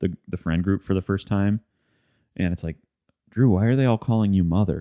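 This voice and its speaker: Speaking at a fairly quick pace with a Midwestern accent, a man uses a fairly low pitch and ordinary pitch variation. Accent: Midwest. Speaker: podcast host. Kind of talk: casual chat.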